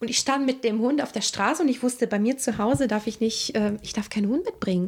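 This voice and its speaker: Fairly quick and with lively intonation, a woman talks in a fairly high pitch. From Italy (Rome area). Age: 30s. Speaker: interpreter and singer. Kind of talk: casual interview.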